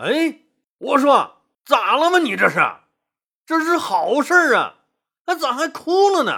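A put-on character voice with vocal fry and a bright, sharp tone moves at a fairly slow pace through big pitch swings. The recording is very clean, with a silent background. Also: man, extremely high pitch for a man.

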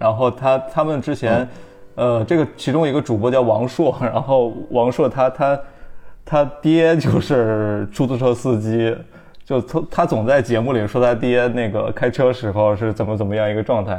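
The background stays quiet. Against it, a man talks in a dark, mellow tone, his pitch varying in an ordinary way. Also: medium pitch for a man, moderate pace. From Anhui, southern China. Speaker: podcast host. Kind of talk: casual interview chat.

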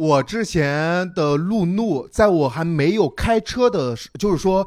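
Over a silent background on a very clean recording, a high-pitched man speaks at a fairly slow pace with lively intonation. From Zibo, Shandong, China. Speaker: business staff at a stand-up comedy company. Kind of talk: casual chat.

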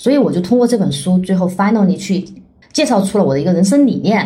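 In a room with audible echo, a woman speaks at a medium pitch with a dark, mellow tone and vocal fry. Her pitch swings very widely, with a slight Chongqing accent. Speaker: author and nonprofit founder. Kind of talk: casual interview.

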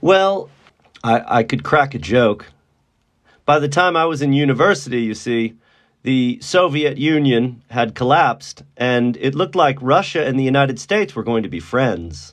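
A man with an American accent and an unremarkable speaking voice uses lively intonation at a medium pitch and a moderate pace against a quiet background. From Texas, Dallas. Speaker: university English teacher. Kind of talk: interview.

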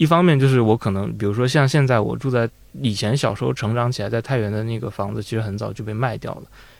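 Here a man talks very fast at a medium pitch with ordinary pitch variation. The recording is very clean, with a silent background. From northern China (Taiyuan, Shanxi). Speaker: audio editor. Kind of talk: casual chat.

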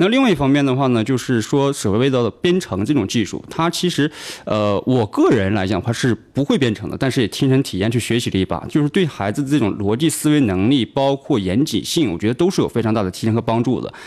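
In a northeastern Chinese accent, a man talks at a very fast pace in a medium pitch, with lively intonation and hardly any pauses. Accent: Northeast Chinese Mandarin. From Northeast China. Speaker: tech startup founder. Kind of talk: radio interview. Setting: radio studio.

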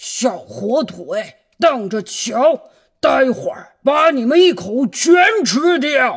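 This is a put-on character voice, high-pitched and raspy. It moves at a very slow pace. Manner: grumbling, threatening.

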